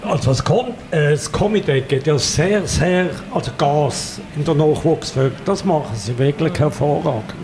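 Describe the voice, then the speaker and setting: A fairly high-pitched man's voice with lively intonation and very even loudness, over noticeable background noise. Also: moderate pace. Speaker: carnival expert. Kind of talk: casual chat.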